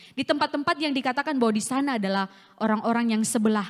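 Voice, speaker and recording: A woman's high voice is captured in a dry, close sound without echo. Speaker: evangelist preacher. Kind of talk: sermon. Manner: forceful, sounds like scolding.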